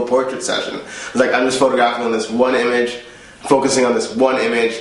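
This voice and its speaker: With audible room echo and noticeable background noise, a man delivers a fairly quick, flat monotone at a medium pitch. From Jamaica. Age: 20s. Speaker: photographer. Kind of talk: interview. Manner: casual, hesitant with fillers.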